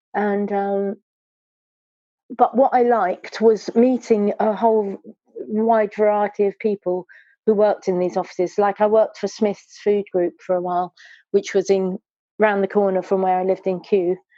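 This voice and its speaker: Speaking at a moderate pace with a southern English accent, a woman has a dark, mellow tone and a monotone, flat intonation, recorded dry and close with no echo. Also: medium pitch for a woman. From southwest London, England. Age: 60s. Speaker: stained glass artist. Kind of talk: casual interview chat. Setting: podcast interview.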